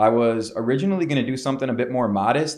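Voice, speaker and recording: This man talks in a Chicago accent. His pace is very fast. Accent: Chicago-area American. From Chicago suburbs, Illinois. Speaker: entrepreneur. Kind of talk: podcast interview. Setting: studio. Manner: casual, filler-heavy.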